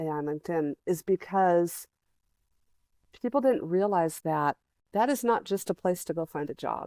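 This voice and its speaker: A woman with a fairly low pitch and a dark, mellow tone speaks at a moderate pace with lively intonation, in a dry, close sound with no echo on a very clean recording with a silent background. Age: 60s. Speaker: creative coach. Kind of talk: casual chat.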